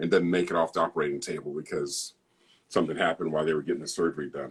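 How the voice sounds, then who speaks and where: A man at a very fast pace. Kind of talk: casual chat.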